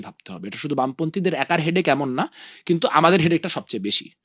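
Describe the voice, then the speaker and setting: Here a man has a fairly high pitch, a bright, sharp tone, vocal fry and lively intonation. The sound is dry and close with no echo, on a very clean recording with a silent background. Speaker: student political leader. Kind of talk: interview.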